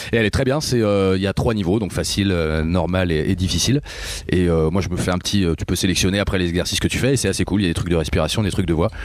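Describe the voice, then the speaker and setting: Over noticeable background noise, a man with a very deep, low pitch talks at a very fast pace, with ordinary pitch variation and very even loudness. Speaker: rock singer. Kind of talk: interview. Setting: backstage after a concert. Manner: casual, hesitant.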